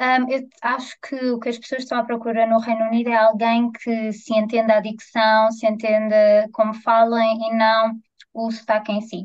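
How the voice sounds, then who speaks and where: A woman with a European Portuguese accent at a fairly slow pace. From Portugal, Vila Franca de Xira. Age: 20s. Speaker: journalist and radio reporter. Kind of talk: casual chat.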